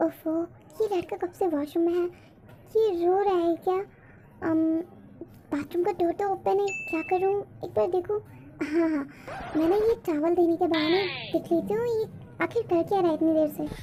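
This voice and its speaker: A put-on character voice, female-sounding and extremely high, moves at a fairly quick pace. Long pauses come often, over clear background noise. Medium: fan dub. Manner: soft, hesitant.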